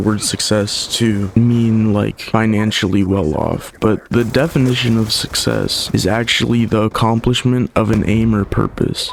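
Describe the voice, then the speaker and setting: Amid noticeable background noise, a man speaks at a moderate pace with fairly low pitch. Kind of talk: casual gameplay commentary. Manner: casual, reflective.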